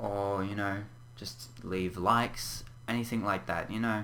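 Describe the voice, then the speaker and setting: A man with an Australian accent, fairly low pitched, with fairly even intonation and audible room echo. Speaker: gaming YouTuber. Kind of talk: casual vlog update. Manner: halting, stumbles on words; frequent throat clearing.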